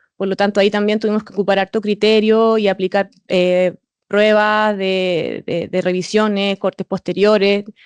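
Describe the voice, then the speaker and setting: A woman speaks at a moderate pace in monotone, flat intonation. Her loudness swings a lot. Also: medium pitch for a woman. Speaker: auditor. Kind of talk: presentation. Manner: halting with repetitions and fillers.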